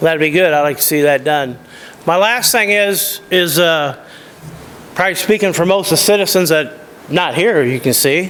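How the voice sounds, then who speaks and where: With an American accent, a man talks at a moderate pace in a high pitch, amid noticeable background noise and audible room echo. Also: ordinary pitch variation, very even loudness. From US Midwest, Illinois (Peoria Heights). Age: 60s. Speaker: resident giving public comment. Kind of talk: public comment at a council meeting.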